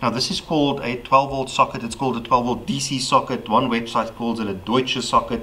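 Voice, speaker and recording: Light background noise sits behind a man's speech. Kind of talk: casual how-to vlog explanation. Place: garage.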